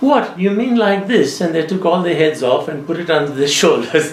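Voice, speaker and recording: Noticeable background noise sits behind a man speaking. He talks at a moderate pace with ordinary pitch variation. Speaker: storyteller. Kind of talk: ghost story anecdote told in interview.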